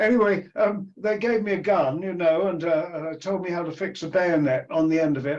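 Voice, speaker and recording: A man's high-pitched voice with an English accent, a moderate pace and ordinary pitch variation. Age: 80s+. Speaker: retired anthropologist. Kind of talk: interview conversation. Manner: halting.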